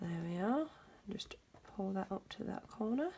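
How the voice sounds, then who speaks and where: A woman talks in a medium pitch with a somewhat breathy tone. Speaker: craft tutorial maker. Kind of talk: tutorial.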